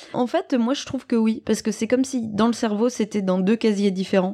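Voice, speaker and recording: On a very clean recording with a silent background, a woman talks at a fairly quick pace in a plain, everyday voice. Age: 30s. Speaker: stage actress. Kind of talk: interview.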